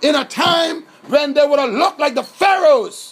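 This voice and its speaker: Amid noticeable background noise, a man shouts at an extremely high pitch, fairly slowly and with lively intonation. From Bahamas. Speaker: political activist. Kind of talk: impassioned monologue. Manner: shouting; animated.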